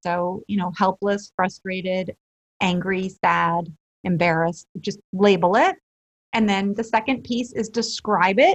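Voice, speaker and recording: Somewhat breathy, a woman at medium pitch talks at a fairly slow pace with ordinary pitch variation. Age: 40s. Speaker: life and relationship coach. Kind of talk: interview. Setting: podcast recording.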